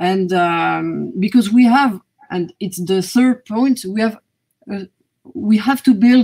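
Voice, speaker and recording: A woman's somewhat breathy voice in a French accent, at a very slow pace with ordinary pitch variation, against a quiet background. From France. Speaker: government strategy coordinator; panelist. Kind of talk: panel discussion. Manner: halting. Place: home room.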